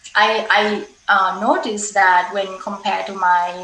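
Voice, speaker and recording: A woman speaks very slowly at a medium pitch, with a Thai accent and ordinary pitch variation. Audible room echo and noticeable background noise fill the recording. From Thailand. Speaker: conservation scientist. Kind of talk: panel discussion. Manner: halting.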